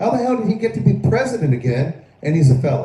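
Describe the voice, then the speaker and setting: A man with an American accent speaks at a fairly high pitch, his voice swinging very widely up and down. Noticeable noise sits in the background. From Florida. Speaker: live stream political commentator. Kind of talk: live stream commentary. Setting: live stream. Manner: halting, repetitive.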